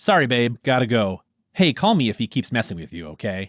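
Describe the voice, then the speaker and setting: Putting on a character voice, a man speaks at a medium pitch and fairly quick pace, with very wide pitch swings and big swings in loudness, in a dry, close sound with no echo. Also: very clean recording, silent background. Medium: read story. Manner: streetwise confidence, mixing Spanish slang.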